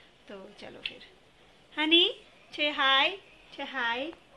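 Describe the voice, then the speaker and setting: A woman's voice with light background noise. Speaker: vlogger, young mother; mother vlogger. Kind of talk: casual vlog talk to camera. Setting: at home, kitchen and sunny outdoor spot. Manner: speaking softly so the sleeping baby won't wake. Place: home room. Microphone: phone near.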